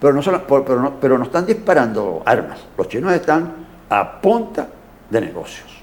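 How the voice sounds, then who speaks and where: Moderate pace and very wide pitch swings from a man with a fairly high voice. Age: 80s+. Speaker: historian. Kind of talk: interview. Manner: halting, frequent repetitions.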